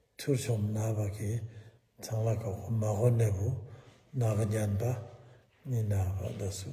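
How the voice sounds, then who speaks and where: A dark, mellow, somewhat breathy voice at a moderate pace, fairly even in intonation, with audible room echo. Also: man. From eastern Bhutan. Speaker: Buddhist teacher. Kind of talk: dharma talk.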